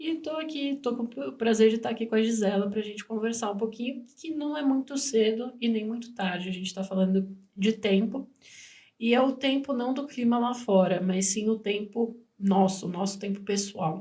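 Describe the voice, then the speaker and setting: A woman's dark, mellow voice, somewhat breathy. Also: fairly high pitch for a woman, ordinary pitch variation, moderate pace. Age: 20s. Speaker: nutrition student and podcast co-host. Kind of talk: casual podcast conversation.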